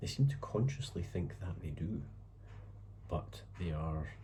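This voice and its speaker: A man speaks with a very deep, low pitch and a dark, mellow tone touched by vocal fry. His pitch swings very widely. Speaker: writer. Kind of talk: casual talk to camera. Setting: home, background noise. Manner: hesitant, thoughtful.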